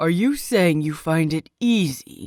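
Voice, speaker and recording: In a put-on character voice of middle pitch, the speaker goes at a fairly slow pace. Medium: read story. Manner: terse, stern.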